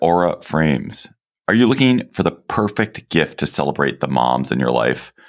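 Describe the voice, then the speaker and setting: A man with a very deep, low pitch and vocal fry speaks with very wide pitch swings. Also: very even loudness. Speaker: podcast host. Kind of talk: casual chat.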